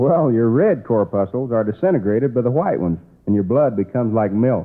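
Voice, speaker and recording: Talking fairly quickly, a man with a plain, everyday voice of medium pitch keeps very even loudness and lively intonation. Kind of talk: radio comedy show banter.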